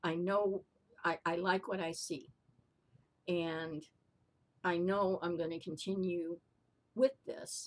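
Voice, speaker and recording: A woman's fairly low-pitched voice at a very slow pace, with fairly even intonation. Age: 60s. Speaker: vlogger and skincare consultant. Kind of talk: casual chat. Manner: halting, many fillers and repeats.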